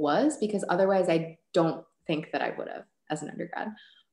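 Against a quiet background with audible room echo, a woman speaks at a moderate pace and a fairly low pitch, using ordinary pitch variation. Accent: American. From Chicago, US Midwest. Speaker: biochemist; guest. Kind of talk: Q&A workshop. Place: home room. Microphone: webcam.

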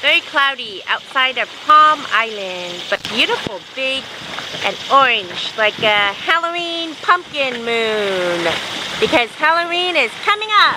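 Someone talks at a very slow pace in a dry recording with no echo and noticeable background noise. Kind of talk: casual vlog chat. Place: boat. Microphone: phone near.

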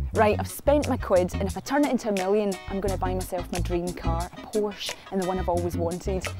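A woman talks at a fairly quick pace with hardly any pauses. Clear music plays in the background, and the sound is dry with no echo. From Scotland. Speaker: TV presenter. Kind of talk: casual presenting to camera. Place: street.

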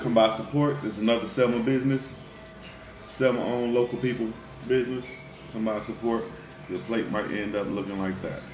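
Fairly even intonation from a man at a fairly quick pace, with faint music in the background. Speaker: food vlogger. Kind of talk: casual vlog chat. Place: cafe. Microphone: phone near.

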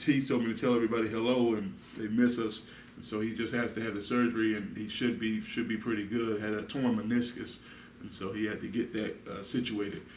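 A man talks at a fairly quick pace in a monotone, flat delivery. Room echo is audible, with light background noise. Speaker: Bible study teacher. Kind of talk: sermon. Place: meeting room. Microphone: camera far.

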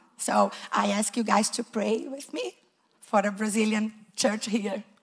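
Crowd noise fills the background as a woman speaks. Her fairly high pitch shows ordinary variation. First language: not English. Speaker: preschool teacher. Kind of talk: testimony. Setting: church. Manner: nervous. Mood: warm, grateful. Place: church. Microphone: handheld.

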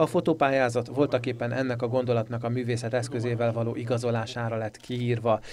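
With a monotone, flat intonation, the words come at a fairly quick pace. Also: man. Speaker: local TV culture show presenter. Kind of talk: TV magazine narration. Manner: formal.

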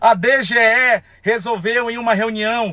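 Against a quiet background, a man projects a raised voice at a high pitch, bright and sharp in tone, in a dry sound with no echo. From Amazonas, Brazil. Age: 30s. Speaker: folk festival singer. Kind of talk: angry rant to camera. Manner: heated, emphatic. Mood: angry, confrontational. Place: car. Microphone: phone near.

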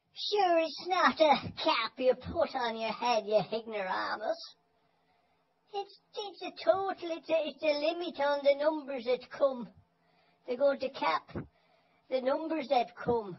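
A man puts on a character voice at an extremely high pitch. He goes at a fairly slow pace. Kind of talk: casual talk to camera. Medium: role play. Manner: scolding, complaining.

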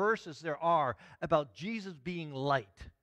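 A man talks in a bright, sharp tone against a quiet background. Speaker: pastor. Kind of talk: sermon. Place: church.

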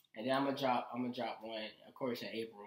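A man speaking at a very fast pace with audible room echo. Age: young. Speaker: musician. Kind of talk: casual chat. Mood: relaxed, earnest. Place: home room.

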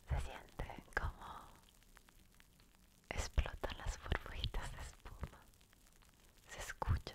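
A woman whispers, soft-spoken, at a very slow pace. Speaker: ASMR creator. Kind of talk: soft ASMR talk. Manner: soft close-mic ASMR whisper. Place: home room. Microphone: studio mic.

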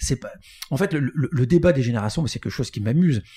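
On a very clean recording with a silent background, a man's somewhat breathy voice has a dark, mellow tone and a dry, close sound with no echo. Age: 50s. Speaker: recruitment firm founder. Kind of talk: interview.

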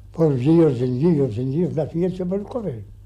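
A man's somewhat breathy, dark and mellow voice, fairly high in pitch, with lively intonation at a moderate pace. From Ireland. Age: 80s+. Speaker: farmer. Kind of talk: interview answer. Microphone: old recording.

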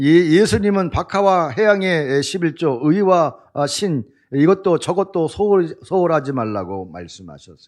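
A man talks against a quiet background. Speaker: pastor. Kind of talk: sermon.

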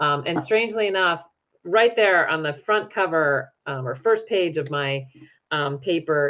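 A fairly slow delivery with an American accent and lively intonation. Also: woman. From US West, Utah (Salt Lake City); Utah. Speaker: nonprofit program director; guest. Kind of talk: interview conversation. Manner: hesitant, many fillers. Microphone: video call.

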